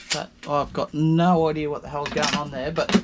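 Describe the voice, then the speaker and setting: A man with an Australian accent at a moderate pace, over noticeable background noise. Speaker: DIY vlogger. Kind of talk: DIY tutorial. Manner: casual.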